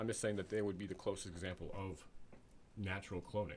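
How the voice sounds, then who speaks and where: A fairly low-pitched man talks at a fairly quick pace, sounding somewhat breathy. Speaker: YouTuber discussing social issues. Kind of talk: solo vlog monologue. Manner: halting, many fillers and restarts.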